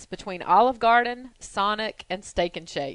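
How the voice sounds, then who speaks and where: Against a quiet background, a woman talks at a moderate pace in an unremarkable speaking voice with ordinary pitch variation. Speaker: podcast host. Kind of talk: casual interview chat. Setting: studio.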